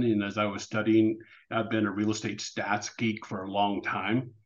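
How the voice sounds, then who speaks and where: A man with a normal speaking voice talks at medium pitch and a moderate pace against a quiet background. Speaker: real estate and mortgage advisor. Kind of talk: interview.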